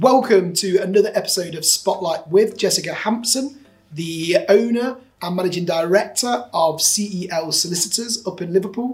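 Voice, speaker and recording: Noticeable background noise sits under the speech. The pace is moderate and the pitch variation ordinary. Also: man, high pitch for a man. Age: 30s. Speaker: podcast host, business owner. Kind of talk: interview conversation.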